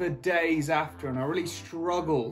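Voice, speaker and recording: Faint music plays in the background. The speech has a moderate pace and ordinary pitch variation. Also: man. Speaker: cycling vlogger. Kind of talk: casual vlog chat. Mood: reflective, supportive. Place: home room. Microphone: phone near.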